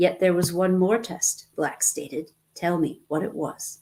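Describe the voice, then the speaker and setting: A put-on character voice, growling at a middle pitch and a moderate pace. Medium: read story. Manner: cold, unemotional.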